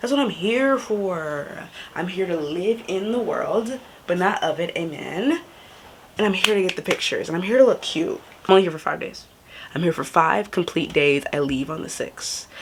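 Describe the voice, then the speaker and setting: A woman with an American accent, animated in tone, with lively intonation at a moderate pace, over noticeable background noise. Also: medium pitch for a woman. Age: young. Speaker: travel vlogger. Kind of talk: casual vlog talk. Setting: Airbnb room, then outdoors.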